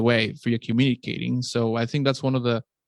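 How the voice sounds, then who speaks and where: Speaking at a fairly quick pace with a non-native accent, the voice sounds dry and close with no echo. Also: man. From outside the US. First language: not English. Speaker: podcast host, meat scientist. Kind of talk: casual chat. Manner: halting, many repetitions.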